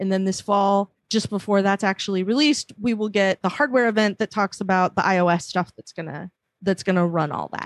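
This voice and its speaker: The background is quiet while a woman with an ordinary speaking voice talks at a fairly quick pace. Her medium pitch shows ordinary variation, and her loudness swings a lot. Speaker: panelist. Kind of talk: casual panel discussion.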